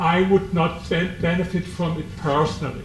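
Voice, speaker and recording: Amid noticeable background noise and audible room echo, a man with a German accent speaks high-pitched at a fairly slow pace. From Germany. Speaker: author. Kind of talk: book presentation talk. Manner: halting.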